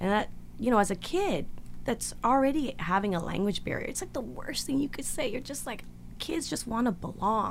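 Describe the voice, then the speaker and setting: A woman speaks with a Canadian accent and a fairly high pitch. Her voice has vocal fry and swings very widely in pitch. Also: moderate pace. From Canada. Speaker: actress. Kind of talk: interview.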